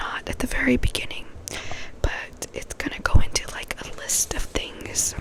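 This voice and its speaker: A woman whispers at a moderate pace, her loudness rising and falling sharply over noticeable background noise. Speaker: ASMR creator. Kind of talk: casual talk to camera intro. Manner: soft-spoken and whispered.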